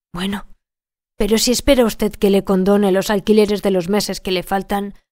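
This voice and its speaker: This woman has a dark, mellow tone at a medium pitch. Her intonation is fairly even and her pace moderate. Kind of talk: literary audiobook narration. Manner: measured, even-paced storyteller delivery; shifts tone to voice each character's dialogue.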